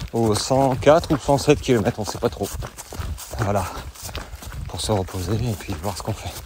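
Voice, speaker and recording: Pausing long and often, a man with lively intonation talks at a medium pitch over noticeable background noise. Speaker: trail running coach and podcaster. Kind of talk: vlog recorded while racing. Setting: outdoors on a trail race. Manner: slow; halting.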